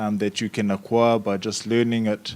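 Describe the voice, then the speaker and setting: A man with a fairly low voice delivers his words fairly slowly. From New Zealand, Maori community. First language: Maori. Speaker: youth panelist. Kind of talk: panel discussion. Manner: halting.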